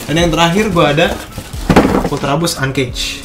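A man speaks with ordinary pitch variation. Music plays clearly in the background. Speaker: sneaker vlogger. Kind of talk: casual unboxing vlog chat. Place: home room. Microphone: phone near.

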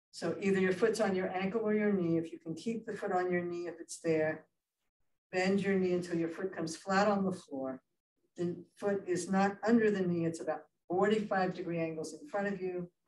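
A woman at a moderate pace, fairly even in intonation, with audible room echo and light background noise. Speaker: yoga instructor. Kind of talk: guided chair yoga class, spoken cues. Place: hall. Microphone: camera far.

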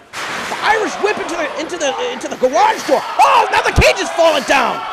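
With noticeable background noise behind him, a man speaks at an extremely high pitch that swings very widely. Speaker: wrestling commentator. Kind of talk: wrestling commentary, playful and joking. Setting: live-style commentary over a match in a wrestling academy. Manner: excited and animated on big moves, rising when describing strength.

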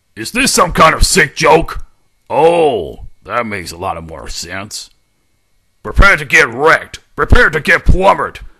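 A raspy put-on character voice from a man, at a fairly slow pace. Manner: aggressive, brash.

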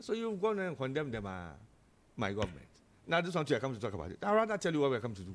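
A man speaks at a very fast pace in an animated tone, his pitch swinging very widely. He leaves long, frequent pauses. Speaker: political panelist. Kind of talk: heated debate. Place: studio. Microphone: studio mic.

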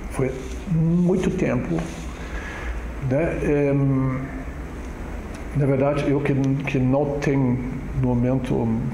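Amid light background noise and audible room echo, a man with a fairly high pitch speaks at a very slow pace. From Germany. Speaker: immigrant community councillor. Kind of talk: oral history interview answer. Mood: reflective, calm. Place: empty room.

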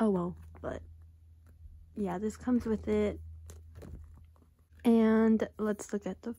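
The recording is very clean with a silent background, and the speech goes at a very slow pace with long, frequent pauses. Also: woman. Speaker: YouTuber. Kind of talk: casual unboxing talk to camera.

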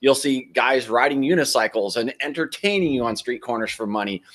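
Against a quiet background, a man with an American accent talks at a moderate pace with ordinary pitch variation. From United States. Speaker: RV travel vlogger. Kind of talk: live stream Q&A. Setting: outdoors. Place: home room. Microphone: studio mic.

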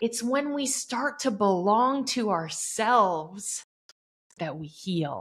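A woman speaks very slowly in a somewhat breathy voice. Her fairly high pitch rises and falls in very wide swings. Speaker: podcast host. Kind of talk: interview. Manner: animated.

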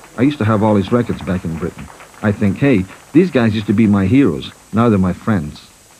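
With music in the background, a man speaks at a fairly quick pace using lively intonation. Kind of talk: documentary narration.

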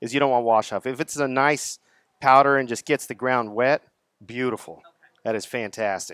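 With a Texas accent and fairly even intonation, the voice comes through in a dry sound with no echo against a quiet background. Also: man. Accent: Texas twang. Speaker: product distributor sales rep. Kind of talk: seminar presentation to audience. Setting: live audience at garden center event. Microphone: headset.

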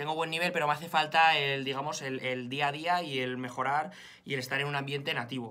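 A man with a Spanish accent talks at a fairly quick pace. His tone is bright and sharp, his pitch fairly high. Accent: Spanish (Spain). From Spain. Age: 20s. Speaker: fitness vlogger. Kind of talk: vlog to camera. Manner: animated. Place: home room. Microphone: phone near.

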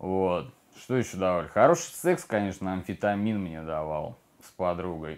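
A man with fairly even intonation keeps a moderate pace in a very deep, low pitch. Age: 30s. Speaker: recovering addict in rehab. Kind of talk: testimony. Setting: rehabilitation center. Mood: subdued, confessional. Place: home room.

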